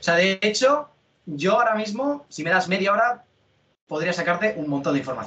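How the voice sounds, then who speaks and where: Raised and projected, a man's high voice has a bright, sharp tone, very wide pitch swings and a fairly quick pace. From Spain, Alicante area. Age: 20s. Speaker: cybersecurity content creator. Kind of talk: interview.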